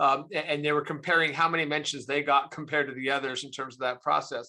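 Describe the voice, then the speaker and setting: A man with an American accent and a bright, sharp tone, on a very clean recording with a silent background. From US, Arizona. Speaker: think tank chief executive, foreign policy expert. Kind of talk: lecture.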